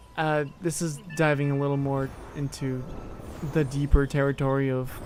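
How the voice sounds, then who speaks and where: A man talks at a moderate pace with a fairly high pitch. His intonation stays monotone and flat. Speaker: gaming streamer. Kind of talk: casual chat. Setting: live stream. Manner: quieter than usual; halting, many repetitions.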